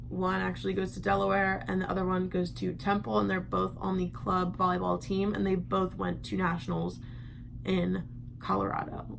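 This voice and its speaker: A woman at a moderate pace with audible room echo. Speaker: vlogger. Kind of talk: casual vlog. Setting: home at night.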